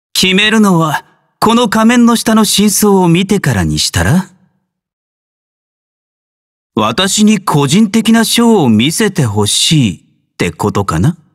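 A man uses a put-on character voice, pitched high. He talks at a slow pace with very wide pitch swings.

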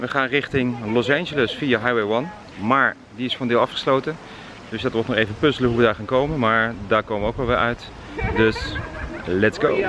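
Against noticeable background noise, a man speaks fairly quickly with ordinary pitch variation, the sound dry with no echo. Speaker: travel vlogger. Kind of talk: casual vlog chat. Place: street. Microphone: phone near.

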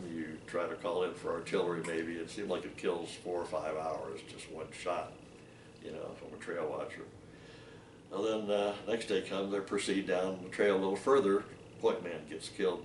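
A man speaks with an American accent, his loudness swinging widely. Audible room echo and light background noise surround the voice. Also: moderate pace. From Ohio. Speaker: war veteran. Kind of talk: interview. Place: home room. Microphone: webcam.

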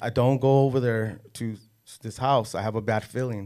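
Against a quiet background, a man with an American accent uses an unremarkable speaking voice, medium in pitch and fairly even in intonation. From Los Angeles area. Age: 40s. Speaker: casting and extras agency owner, former gang member. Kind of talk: casual interview. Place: studio. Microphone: studio mic.

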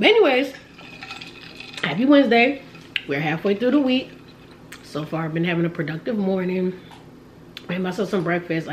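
In a raspy, put-on character voice at middle pitch, the speaker moves at a fairly quick pace broken by long, frequent pauses, with clear background noise behind. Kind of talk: casual vlog chat. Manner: talking while eating.

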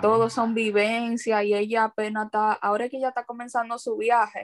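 Fairly quick, monotone delivery with flat intonation over a quiet background. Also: woman, fairly high pitch for a woman. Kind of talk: casual group discussion of a film. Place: home room. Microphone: video call.

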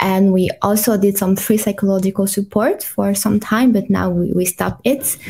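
A woman's medium-pitched, somewhat breathy voice with a French accent, dark and mellow in tone, with very even loudness, fairly even intonation and hardly any pauses. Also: moderate pace. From France, Paris. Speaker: clinical psychologist. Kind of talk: interview. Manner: halting, many fillers.

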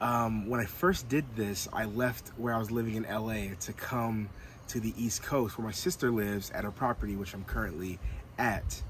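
Under light background noise, a man speaks at a moderate pace with ordinary pitch variation in a dry sound with no echo. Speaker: van life vlogger. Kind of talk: casual vlog chat. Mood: excited but a little nervous. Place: car.

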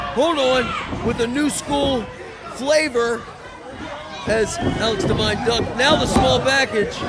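Over noticeable background noise, a man speaks very slowly at an extremely high pitch with ordinary pitch variation and long, frequent pauses. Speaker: wrestling commentator. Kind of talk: live wrestling commentary. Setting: live indie wrestling show, fire hall. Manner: excitable, punchy exclamations.

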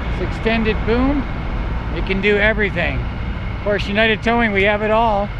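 Over noticeable background noise, a man speaks at a fairly slow pace, the sound dry with no echo. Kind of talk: on-location commentary. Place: street. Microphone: phone near.

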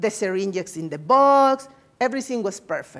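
A woman with a Spanish accent speaks at a moderate pace, her intonation lively. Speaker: nursing researcher. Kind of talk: lecture. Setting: seminar room with audience. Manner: halting; good-humored. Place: meeting room.

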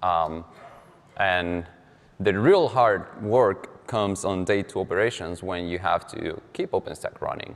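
This man's voice sits at a fairly low pitch, with ordinary pitch variation. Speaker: software engineer presenting at a tech conference. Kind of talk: conference talk. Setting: stage with audience. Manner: fast talker. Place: hall. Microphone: podium.

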